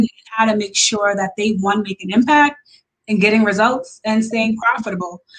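A woman with an American accent, a fairly high pitch, fairly even intonation, a somewhat breathy sound and a fairly quick pace. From Long Island, New York. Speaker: business consultant and coach. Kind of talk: interview.

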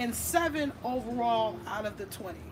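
A woman speaks at a very slow pace, with audible room echo and music in the background. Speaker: podcast host and cannabis lobbyist. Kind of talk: casual interview chat. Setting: cigar lounge venue.

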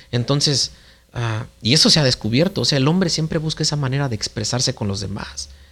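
Using vocal fry, a man speaks at a fairly quick pace and medium pitch with ordinary pitch variation. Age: 30s. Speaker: father, podcast guest. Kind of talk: casual chat.

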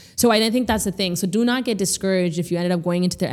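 On a very clean recording with a silent background, a woman with a fairly low pitch speaks very fast in an animated tone with lively intonation. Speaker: therapist and public speaker. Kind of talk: casual podcast interview. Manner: animated, laughs often.

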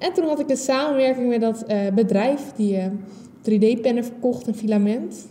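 Over noticeable background noise, a woman with a high pitch talks at a moderate pace. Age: 20s. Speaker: podcast host. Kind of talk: solo podcast monologue.

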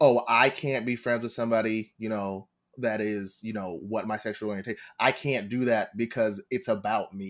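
Recorded very cleanly against a silent background, a man with a New York accent speaks at a moderate pace, medium pitch and fairly even intonation. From New York, Long Island. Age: 20s. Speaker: actor and Twitch streamer. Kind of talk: casual chat.

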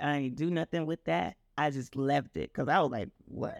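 Very deep and low, a woman's voice carries vocal fry and ordinary pitch variation at a fairly slow pace. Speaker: guest singer and creator. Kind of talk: casual interview chat, testimony.

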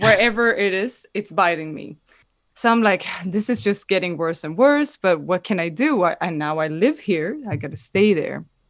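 With a Swedish accent, a woman speaks with very wide pitch swings against a quiet background. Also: medium pitch for a woman, moderate pace. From Sweden. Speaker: dancer. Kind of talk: storytelling.

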